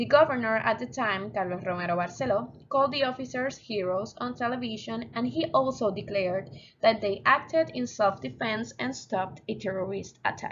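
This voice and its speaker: In a Spanish accent, a woman talks at a moderate pace with hardly any pauses, her fairly high voice showing vocal fry and very wide pitch swings. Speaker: student. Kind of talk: class presentation.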